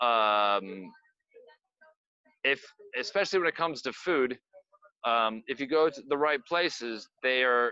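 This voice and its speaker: A man's medium-pitched, bright and sharp voice with an American accent, long, frequent pauses, and a dry, close sound with no echo. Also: lively intonation, fairly slow pace. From US, Pennsylvania. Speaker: performer. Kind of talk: casual chat. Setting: video call.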